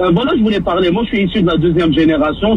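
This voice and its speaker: A man with a high-pitched voice talks in a space with audible room echo and noticeable background noise. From Maghreb, then Quebec from age 15. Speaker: caller. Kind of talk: radio call-in.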